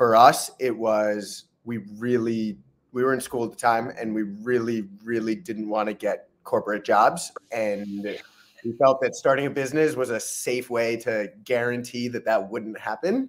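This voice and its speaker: A man's fairly slow speech with fairly even intonation. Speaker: guest. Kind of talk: interview answer.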